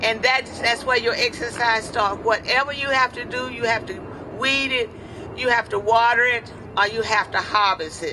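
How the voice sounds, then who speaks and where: A woman talks at a fairly high pitch with fairly even intonation. Noticeable background noise runs under her voice. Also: moderate pace. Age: 80s+. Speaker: community gardener. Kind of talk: press conference statement. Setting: press conference.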